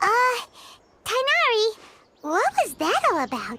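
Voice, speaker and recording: A squeaky put-on character voice at an extremely high pitch, with very wide pitch swings and a moderate pace. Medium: video game. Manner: bubbly, enthusiastic.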